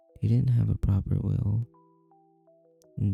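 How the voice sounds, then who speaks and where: A soft-spoken man with music in the background. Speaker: vtuber, ASMR streamer. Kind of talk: horror story narration.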